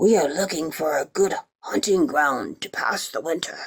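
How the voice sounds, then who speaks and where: The speaker uses a raspy, put-on character voice at a middle pitch and a moderate pace. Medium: read story.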